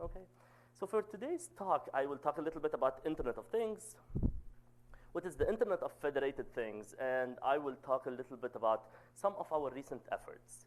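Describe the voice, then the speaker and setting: This man talks at a fairly quick pace with lively intonation. His pitch sits fairly high. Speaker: professor. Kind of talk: lecture. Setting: seminar with audience.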